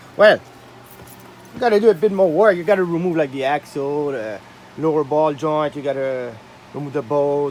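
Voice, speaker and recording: A man with a fairly high voice and lively intonation speaks with big swings in loudness and long, frequent pauses over noticeable background noise. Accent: French Canadian. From Quebec. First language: French. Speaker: mechanic youtuber. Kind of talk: tutorial. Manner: casual, halting with fillers.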